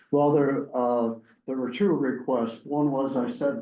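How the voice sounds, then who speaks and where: There is audible room echo as a man talks at a fairly slow pace. His pitch is medium. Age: 80s+. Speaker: zoning applicant, property owner. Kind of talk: public hearing testimony.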